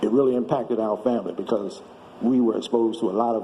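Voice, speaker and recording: Over noticeable background noise, a man of medium pitch speaks at a fairly quick pace. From Washington, D.C. area (Maryland). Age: 70s. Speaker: storyteller. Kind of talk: testimony.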